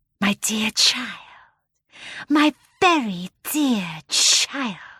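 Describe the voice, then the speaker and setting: Hissing through a put-on character voice, a woman speaks at a very slow pace in a fairly high pitch. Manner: tender, soothing.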